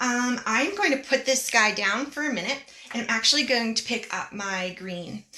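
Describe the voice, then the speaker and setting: Lively intonation colors a woman's fairly high voice at a moderate pace. Noticeable background noise sits behind her. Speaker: art teacher. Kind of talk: tutorial. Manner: animated.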